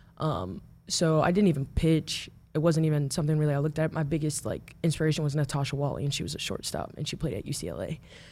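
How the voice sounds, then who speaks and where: A woman with a very deep, low pitch and a dark, mellow tone speaks at a very fast pace with vocal fry and ordinary pitch variation. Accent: American. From Omaha, Nebraska, US Midwest. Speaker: college softball pitcher. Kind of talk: interview.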